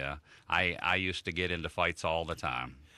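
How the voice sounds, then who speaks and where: A bright, sharp voice with an American accent on a very clean recording with a silent background. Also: man. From Chicago, US Midwest. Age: 50s. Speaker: motivational speaker. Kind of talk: radio interview. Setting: radio studio.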